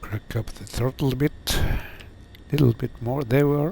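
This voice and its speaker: Somewhat breathy and dark, mellow in tone, a man with a non-native accent speaks with ordinary pitch variation. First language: not English. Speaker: flight sim streamer. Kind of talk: live gameplay commentary. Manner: halting, many fillers.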